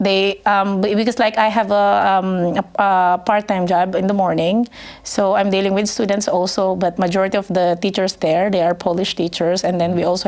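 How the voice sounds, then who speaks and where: Speaking at a fairly quick pace with hardly any pauses, a woman holds a medium pitch in a flat monotone with very even loudness. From Philippines, northern Luzon. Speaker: English teacher and business owner. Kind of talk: podcast interview. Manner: hesitant, many fillers.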